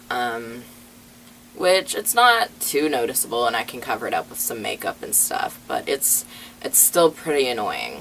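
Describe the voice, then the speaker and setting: There is noticeable background noise behind a man speaking at a moderate pace. His loudness swings widely. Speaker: transgender vlogger. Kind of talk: personal vlog update. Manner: hesitant, many fillers.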